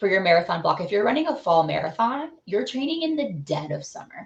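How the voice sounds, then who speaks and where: At a fairly quick pace, a woman speaks in a somewhat breathy, medium-pitched voice with very wide pitch swings. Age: 30s. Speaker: amateur marathon runner. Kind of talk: casual interview.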